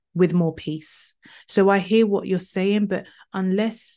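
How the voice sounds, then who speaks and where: In a British accent, the speaker delivers everything in a flat monotone against a quiet background. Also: woman. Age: 40s. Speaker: trauma speaker and author. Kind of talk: interview.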